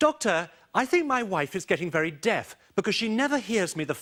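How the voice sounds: Reading in a natural voice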